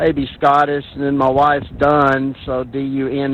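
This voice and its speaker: A man with a fairly high pitch and an American accent, over noticeable background noise. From US South, Arkansas. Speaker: amateur radio operator checking in. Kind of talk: radio net check-in. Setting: amateur radio net.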